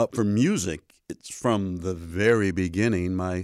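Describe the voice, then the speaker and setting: The pitch of this man's voice varies in an ordinary way. It is a very clean recording over a silent background. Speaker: university theater professor and gospel quartet bass singer, podcast guest.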